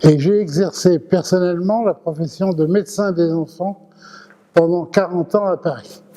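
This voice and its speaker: A man with a high pitch, fairly even intonation and a fairly slow pace, over noticeable background noise. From France (arrived from Thessaloniki, Greece, as a child). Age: 80s+. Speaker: retired pediatrician. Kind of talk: testimony.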